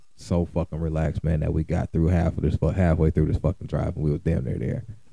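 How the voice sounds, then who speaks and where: With a very deep, low pitch and a dark, mellow tone, a man speaks in fairly even intonation with vocal fry. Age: 30s. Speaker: podcast host. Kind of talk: casual chat.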